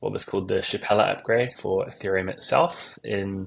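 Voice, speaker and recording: Speaking with a New Zealand accent, this man keeps a moderate pace. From New Zealand, South Island. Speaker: crypto project marketing and community lead. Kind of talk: interview.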